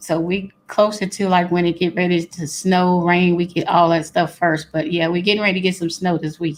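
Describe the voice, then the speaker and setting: With a Louisiana accent, a woman speaks at a moderate pace in a fairly low pitch and monotone, flat intonation. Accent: Louisiana Southern US. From Louisiana, Baton Rouge. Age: 40s. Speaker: guest. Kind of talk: casual chat.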